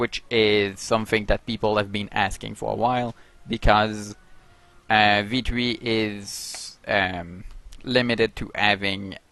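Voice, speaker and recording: Speech in a non-native accent comes at a very slow pace with monotone, flat intonation. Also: man, fairly low pitch for a man. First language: not English. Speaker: game addon developer. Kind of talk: video update. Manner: halting.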